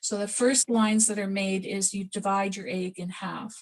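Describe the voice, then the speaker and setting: A woman talks fairly slowly at a medium pitch, her voice somewhat breathy and her intonation flat and monotone. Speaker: pysanky artist demonstrating egg decorating. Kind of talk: live demonstration over video call. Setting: video call. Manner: mumbling, a bit quiet; casual, halting with self-corrections. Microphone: too quiet.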